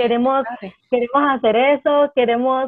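At a fairly slow pace, a woman talks in a high pitch. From El Salvador. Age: 20s. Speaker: special education teacher and violinist. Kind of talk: interview. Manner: animated.

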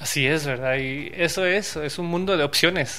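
A man with a bright, sharp tone, at a moderate pace. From Guatemala, Quetzaltenango. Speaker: blockchain entrepreneur. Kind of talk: interview.

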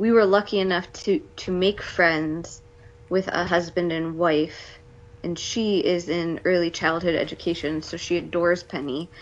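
A woman speaks with an American accent in an unremarkable speaking voice. Her pitch is fairly low and her pace fairly slow. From US Midwest, Cleveland area. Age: 30s. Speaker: stay-at-home mother and military spouse. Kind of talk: casual interview. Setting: video call. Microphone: possible lag and quality issues.

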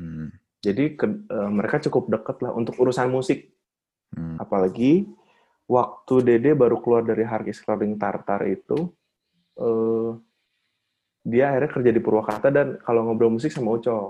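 Here is a man with an unremarkable speaking voice at a medium pitch. He speaks at a moderate pace with lively intonation. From Bandung, Indonesia. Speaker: drummer and marketing manager. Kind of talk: casual chat.

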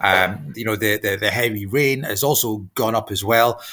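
This man has a medium-pitched voice with ordinary pitch variation. His tone is bright and sharp. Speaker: journalist. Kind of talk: news discussion.

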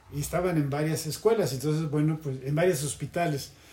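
A man talks in a somewhat breathy voice. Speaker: former student activist. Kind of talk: casual interview. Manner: halting.

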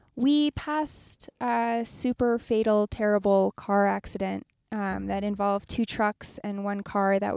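A plain, everyday voice from a woman at a medium pitch, fairly slow, with ordinary pitch variation, in a very clean, dry, close recording with a silent background and no echo. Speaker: travel podcast co-host. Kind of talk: casual chat. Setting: in a car. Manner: giggly, laughs often.

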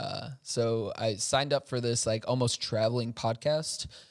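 In a dry, close sound with no echo, a man at medium pitch talks at a fairly slow pace with monotone, flat intonation. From Chicago, US. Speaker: tech startup executive. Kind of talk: casual interview.

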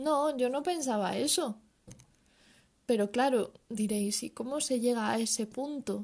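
A woman talks fairly slowly, and her pitch varies in an ordinary way. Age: 20s. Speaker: podcaster. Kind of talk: personal monologue.

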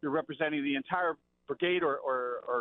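A man with an American accent is speaking. His pace is very fast. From South Jersey. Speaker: former college football player. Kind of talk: casual chat. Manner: animated.

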